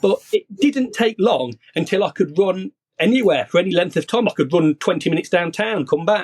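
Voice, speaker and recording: With a British accent, a man speaks at a fairly quick pace with lively intonation, recorded with a dry, close sound and no echo. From UK. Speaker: copywriter. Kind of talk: podcast interview.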